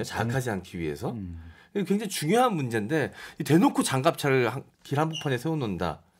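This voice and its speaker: A man at a very fast pace, with very wide pitch swings and vocal fry. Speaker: MC and media personality; radio guest. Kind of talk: radio panel discussion. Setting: radio studio. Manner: animated. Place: studio.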